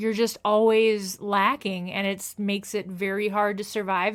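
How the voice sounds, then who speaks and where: A woman with a Midwestern US accent speaks at a medium pitch. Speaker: chronic illness video creator. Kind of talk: casual explainer monologue.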